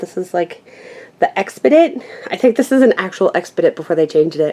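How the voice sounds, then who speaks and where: Noticeable background noise runs under this clip. A woman speaks in a medium pitch. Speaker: craft YouTuber. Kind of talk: casual room tour. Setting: handheld camera at home. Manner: halting.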